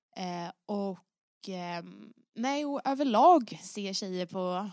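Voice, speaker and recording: A woman talks in a plain, everyday voice, medium-pitched with ordinary pitch variation. The sound is dry and close with no echo, against a quiet background. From Stockholm, Sweden. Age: 20s. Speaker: rally driver. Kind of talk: podcast interview.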